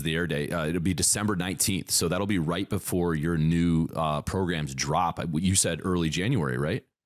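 Very deep, low tones from a man, moving along at a fairly quick clip. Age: 30s. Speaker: podcast host. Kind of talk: casual interview chat.

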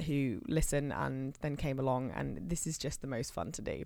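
A woman speaks at a fairly quick pace with a very deep, low pitch. Vocal fry runs through her voice. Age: 20s. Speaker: podcast co-host. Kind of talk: casual chat.

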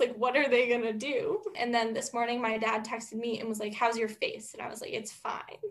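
Noticeable background noise sits behind a woman's high-pitched voice. She speaks at a fairly quick pace with an American accent. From Massachusetts. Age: 20s. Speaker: college student podcast co-host. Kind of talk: casual chat; scripted outro.

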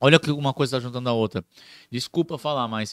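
A man at a medium pitch is heard in a dry, close sound with no echo. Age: 20s. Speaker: clown and surfer. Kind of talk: casual chat.

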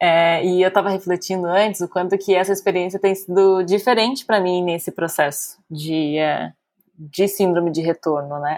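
A woman speaks at a moderate pace with medium pitch and fairly even intonation. It is a plain, everyday voice. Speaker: psychologist and podcast co-host. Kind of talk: casual chat.

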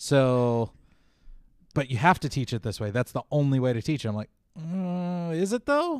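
A plain, everyday voice of a man, fairly high in pitch, lively intonation at a moderate pace, dry, close sound with no echo, very clean recording, silent background. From US, moved to eastern Oregon recently. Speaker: podcast co-host. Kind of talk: casual chat.

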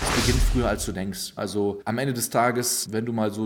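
With noticeable background noise behind him, a man speaks at a moderate pace in a medium pitch, his intonation monotone and flat. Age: 20s. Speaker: stock market investor and finance coach. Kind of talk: casual monologue.

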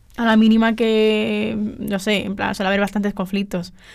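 A woman with an unremarkable speaking voice talks at a medium pitch and moderate pace. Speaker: journalism student. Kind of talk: casual chat. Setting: studio.

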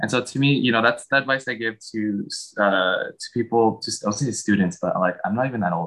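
With a medium pitch and ordinary pitch variation, a man talks at a fairly quick pace. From San Francisco Bay Area, US. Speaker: university graduate, guest. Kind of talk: interview. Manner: hesitant with many fillers.

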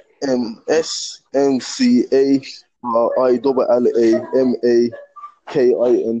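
A man speaks with a Birmingham accent. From England, Birmingham. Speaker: aspiring rapper calling in. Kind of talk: casual chat. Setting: phone call. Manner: halting, repeating words.

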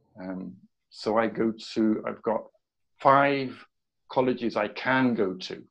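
A man with a southern English accent talks at a very slow pace, using long, frequent pauses. His pitch is medium with ordinary pitch variation. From southern England. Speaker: education coach. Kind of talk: casual interview.

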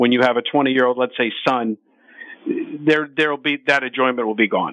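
Speaking in an ordinary speaking voice, a man keeps a medium pitch and fairly even intonation. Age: 50s. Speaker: sports betting radio host. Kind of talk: casual chat. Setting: studio.

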